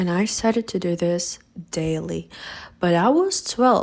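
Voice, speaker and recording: A woman with a non-native accent, at a fairly slow pace. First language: not English. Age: 20s. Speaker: vlogger. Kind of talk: personal testimony.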